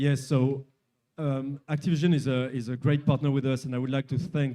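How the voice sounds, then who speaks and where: The voice has a dark, mellow tone and a French accent. It moves at a moderate pace with fairly even intonation. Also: man. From France. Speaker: company executive. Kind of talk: interview. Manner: halting.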